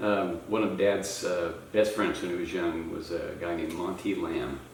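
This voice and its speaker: The man keeps a moderate pace. His voice carries audible room echo, and noticeable noise sits behind it. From Oklahoma, born in Missouri. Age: 70s. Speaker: interviewee, interviewer's father. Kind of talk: family interview, reminiscing.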